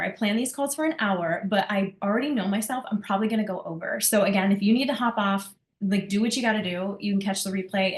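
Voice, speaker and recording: Very fast speech from a woman at medium pitch, ordinary pitch variation, noticeable background noise. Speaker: business coach. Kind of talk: group coaching call. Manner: animated.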